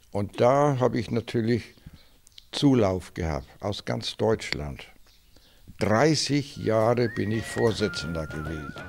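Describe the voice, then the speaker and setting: Over faint music in the background, a man with a fairly low pitch and very wide pitch swings speaks at a very slow pace with long, frequent pauses. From northern Germany, Schleswig-Holstein. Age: 80s+. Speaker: classic car collector. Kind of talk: interview. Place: garage. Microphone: handheld.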